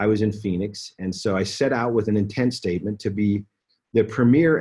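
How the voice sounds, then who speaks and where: A man speaks at a fairly quick pace in a fairly low, somewhat breathy voice. His tone is dark and mellow. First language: Spanish. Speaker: business executive. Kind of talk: training talk. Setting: conference call.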